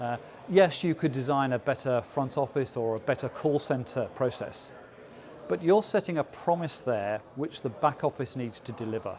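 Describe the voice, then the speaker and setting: A man with an English accent, medium pitch, ordinary pitch variation, and a fairly quick pace. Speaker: business executive. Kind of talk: interview. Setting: conference event. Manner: frequent filler 'uh'.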